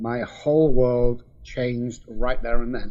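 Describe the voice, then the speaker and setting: A man with a Mancunian accent speaks here. His pitch is medium, with ordinary variation. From England, Manchester. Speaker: addiction specialist. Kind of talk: testimony.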